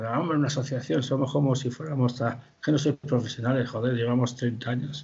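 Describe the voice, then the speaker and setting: With fairly even intonation, a man's somewhat breathy voice moves at a fairly quick pace. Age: 60s. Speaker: puppet festival director. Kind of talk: interview. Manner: halting.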